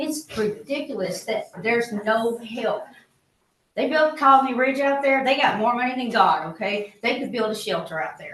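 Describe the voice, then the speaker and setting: With a Southeast Texas accent, a woman speaks at high pitch and a moderate pace with lively intonation. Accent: Southeast Texas Southern. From Texas, Liberty County. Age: 50s. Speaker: resident speaking at public comment. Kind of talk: public comment at county meeting. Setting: county commissioners court meeting. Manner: emphatic, pleading.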